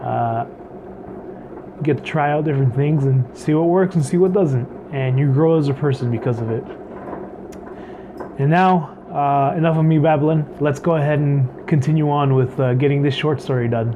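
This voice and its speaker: With long, frequent pauses, a man talks in a fairly high pitch and fairly even intonation over noticeable background noise. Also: moderate pace. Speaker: writing vlogger. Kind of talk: casual vlog talk. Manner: halting, many fillers.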